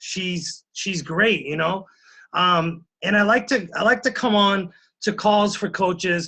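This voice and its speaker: In a raised, projected voice, a man speaks with a high pitch, ordinary pitch variation and a bright, sharp tone. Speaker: fitness coach. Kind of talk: motivational talk. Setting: conference call.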